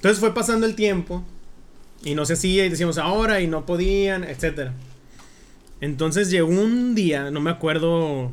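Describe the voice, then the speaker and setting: A man's high-pitched voice at a moderate pace with ordinary pitch variation and long, frequent pauses, in audible room echo. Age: 20s. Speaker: podcast guest. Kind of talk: casual chat.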